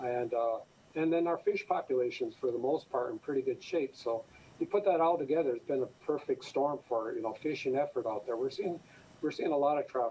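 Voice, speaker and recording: The speaker talks at a fairly quick pace in an Upper Midwest accent. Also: man. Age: 60s. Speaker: fisheries official. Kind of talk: radio interview.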